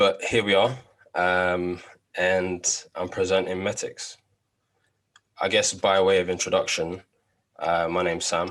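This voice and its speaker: In a London accent and a very deep, low pitch, a man speaks at a fairly slow pace in a monotone, flat intonation, with long, frequent pauses and a quiet background. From London, England. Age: 20s. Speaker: no-code project presenter. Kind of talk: project demo presentation.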